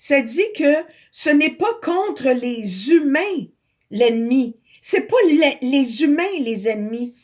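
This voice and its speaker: A woman speaks very slowly in a high voice, her pitch swinging very widely while her loudness stays very even. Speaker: spiritual video blogger. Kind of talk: spiritual monologue.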